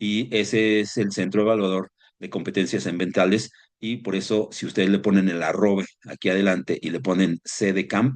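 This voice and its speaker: A man with an unremarkable speaking voice talks at a moderate pace, his pitch fairly low and his intonation fairly even. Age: 60s. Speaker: environmental consultant and instructor. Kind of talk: online seminar lecture. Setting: live stream.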